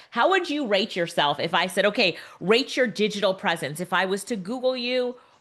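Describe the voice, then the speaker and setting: At a moderate pace, a woman talks in an animated tone. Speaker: tech entrepreneur and speaker. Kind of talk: webinar presentation. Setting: video call.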